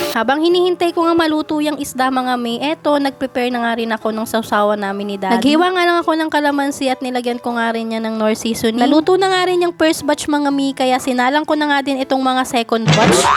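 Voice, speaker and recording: Amid noticeable background noise, a woman talks very fast with hardly any pauses, her high voice full of lively intonation. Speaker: vlogger and stay-at-home mother. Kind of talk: vlog voice-over narration. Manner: casual, chatty.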